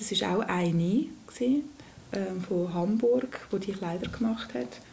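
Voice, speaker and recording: A woman talks at a moderate pace. Room echo is audible. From Lucerne region, Switzerland. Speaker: former rapper. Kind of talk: interview.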